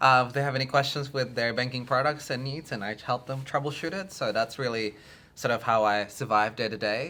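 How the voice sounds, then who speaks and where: With an Australian accent, the speaker moves at a fairly quick pace in a bright, sharp tone with ordinary pitch variation. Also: man, medium pitch for a man, very clean recording, silent background. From Australia, arrived from Indonesia at ten. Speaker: filmmaker. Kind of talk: interview. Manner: halting, many fillers.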